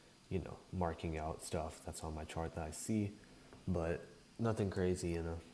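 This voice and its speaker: The voice is quiet and calm in tone, moving at a moderate pace. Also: man. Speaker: day trader streaming live trades. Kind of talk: live trading commentary. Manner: quiet, calm; casual, hesitant with fillers.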